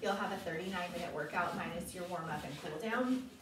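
A woman speaks with light background noise and audible room echo. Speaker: fitness instructor. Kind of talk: workout tutorial. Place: home room. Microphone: camera far.

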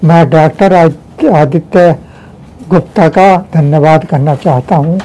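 Very slowly, a man with a fairly high pitch speaks in fairly even intonation. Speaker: neurosurgery patient. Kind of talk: patient testimonial. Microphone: lapel.

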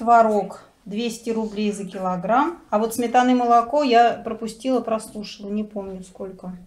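The woman delivers her words at a fairly slow pace. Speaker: home vlogger. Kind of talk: casual vlog chat. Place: home room. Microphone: phone near.

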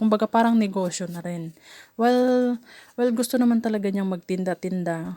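Speaking at a fairly quick pace, a woman has a dark, mellow tone on a very clean recording with a silent background. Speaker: vlogger. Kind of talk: casual vlog monologue. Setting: outdoors, up a mango tree. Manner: halting, stumbling over words; frequent laughter.

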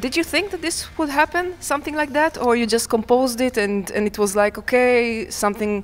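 The intonation is lively and rises and falls freely. The pace is fairly quick, with hardly any pauses. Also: woman, high pitch for a woman. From Israel. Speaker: music interviewer. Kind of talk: interview. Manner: halting. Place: hall. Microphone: handheld.

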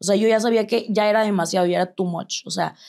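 A woman speaks against a quiet background. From Mexico. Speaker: tattoo artist; interview guest. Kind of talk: interview testimony; interview answer. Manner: halting. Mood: reflective, candid personal story. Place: studio.

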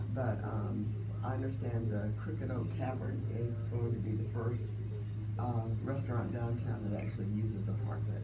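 Loud background noise surrounds a woman talking at a moderate pace. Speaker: local government official. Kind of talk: radio interview. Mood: warm, informative. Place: studio.

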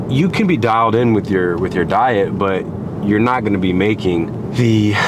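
A man's speech moves at a middling speed, his pitch shifting in ordinary ways. Background noise can be clearly heard. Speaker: fitness vlogger. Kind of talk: casual vlog chat. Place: car. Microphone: phone near.

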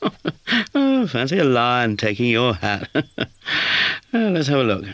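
Speech in a natural reading voice

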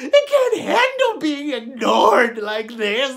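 A man uses a put-on character voice at a fairly slow pace. Light background noise can be heard. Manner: melodramatic, desperate.

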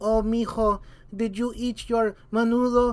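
In a put-on character voice, the speaker talks fairly slowly at a fairly high pitch with monotone, flat intonation.

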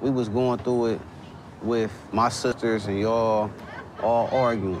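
A man speaks in a flat monotone at very even loudness, the sound dry with no echo and noticeable background noise behind him. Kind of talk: heated conversation. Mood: defensive, arguing. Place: cafe. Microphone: lapel.

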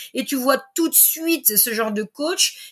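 Against a quiet background, the speaker sounds animated, with very wide pitch swings. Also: woman. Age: 40s. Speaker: sports coach. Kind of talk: casual chat. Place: home room.

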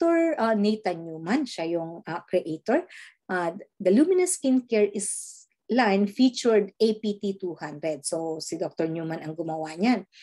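A woman speaks at a very slow pace with very wide pitch swings and a dark, mellow tone. The background is quiet. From Philippines. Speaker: skincare distributor; presenter. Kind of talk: sales presentation. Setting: screen-share video presentation. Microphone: video call.

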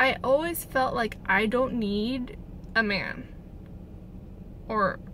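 Speaking at a very slow pace, a woman uses a high pitch with ordinary pitch variation, in a dry sound with no echo and light background noise. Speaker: vlogger. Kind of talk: casual vlog chat. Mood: reflective, a bit scattered. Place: car. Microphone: phone near.

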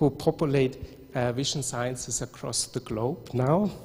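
Using a plain, everyday voice, this man speaks fairly slowly, his pitch varying in an ordinary way. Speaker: academic host introducing speaker. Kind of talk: formal introduction. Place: hall. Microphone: handheld.

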